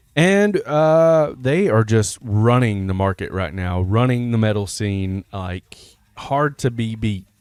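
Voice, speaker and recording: Music plays in the background while a man talks at a fairly slow pace and a medium pitch, with ordinary pitch variation. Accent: Alabama. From US South, Alabama. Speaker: metal music reaction YouTuber. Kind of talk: casual countdown commentary. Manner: casual, conversational with fillers.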